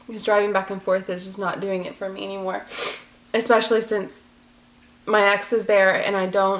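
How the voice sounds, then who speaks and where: A woman's medium-pitched voice with an American accent, at a moderate pace, monotone and flat in intonation. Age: 20s. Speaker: vlogger. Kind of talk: personal vlog.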